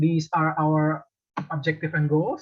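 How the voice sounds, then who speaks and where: This man speaks with an Indonesian accent at a fairly high pitch. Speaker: university student presenter. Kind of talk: presentation.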